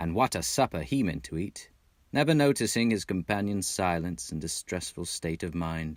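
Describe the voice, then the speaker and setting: Using a normal speaking voice, a man with an American accent talks at a moderate pace. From Texas. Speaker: audiobook narrator. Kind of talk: audiobook reading.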